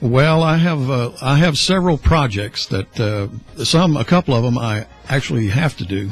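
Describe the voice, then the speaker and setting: A man's somewhat breathy voice at a medium pitch, with lively intonation and a moderate pace. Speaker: retiring radio host. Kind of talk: radio interview. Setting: radio studio. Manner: quiet.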